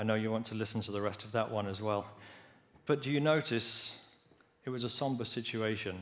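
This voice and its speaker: Fairly quick speech in an English accent, broken by long, frequent pauses, with audible room echo. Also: man, medium pitch for a man, ordinary pitch variation. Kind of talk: lecture.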